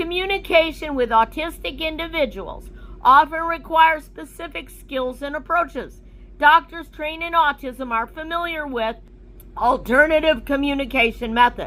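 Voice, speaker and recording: A woman speaks in a high, raised, projected voice. Her intonation is lively and her pace moderate. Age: 60s. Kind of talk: reading aloud. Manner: formal.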